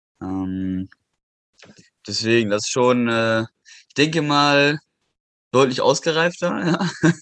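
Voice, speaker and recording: A man speaks at a very slow pace with long, frequent pauses. The sound is dry and close, with no echo. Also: medium pitch for a man, lively intonation, quiet background. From western Germany, near Düsseldorf. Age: 20s. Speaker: calisthenics athlete and metalworker. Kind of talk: casual interview.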